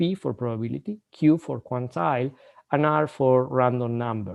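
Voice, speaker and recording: This is a man speaking. His pitch sits in the medium range. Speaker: university lecturer. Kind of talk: lecture. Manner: fast; halting, repeats words.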